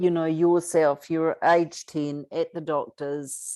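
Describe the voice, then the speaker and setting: Speaking very slowly in a New Zealand accent, a woman keeps a monotone, flat intonation on a very clean recording with a silent background. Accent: Kiwi. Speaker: abuse survivor advocate and author. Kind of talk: interview conversation.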